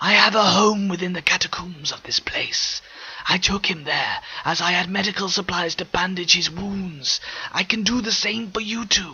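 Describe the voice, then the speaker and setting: Whispering in a put-on character voice, a man goes along at a moderate pace. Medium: read story. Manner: eloquent, measured.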